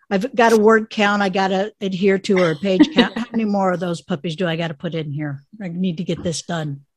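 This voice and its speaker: Somewhat breathy, a woman talks at a fairly quick pace with hardly any pauses, a medium pitch and ordinary pitch variation. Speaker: podcast host. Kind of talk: casual interview chat.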